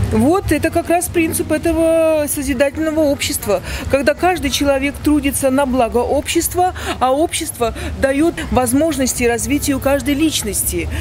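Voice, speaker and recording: Amid noticeable background noise, a high-pitched woman speaks at a moderate pace with ordinary pitch variation and very even loudness. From Belarus, Gomel. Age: old. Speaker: street interview respondent, pensioner. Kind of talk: street interview. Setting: outdoors in a park.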